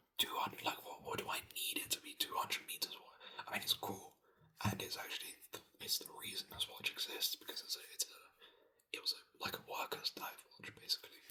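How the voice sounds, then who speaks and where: A man whispers at a fairly quick pace. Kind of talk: ASMR whispered ramble about a hobby; casual talk to camera. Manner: casual, conversational, rambling with filler words.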